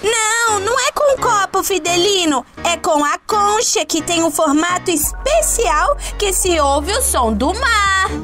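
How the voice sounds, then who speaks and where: A woman uses a put-on character voice at extremely high pitch and a fairly slow pace. Clear music plays in the background. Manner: excited, playful.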